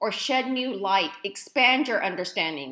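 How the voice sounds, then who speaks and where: A loud woman with an American accent and a bright, sharp tone. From East Dallas, Texas. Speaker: college professor. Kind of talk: recorded lecture tutorial. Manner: loud, energetic; casual, conversational.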